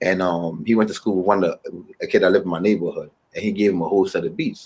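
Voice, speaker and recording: A man with a Ghanaian accent, talking at a very fast pace. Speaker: musician. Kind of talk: interview.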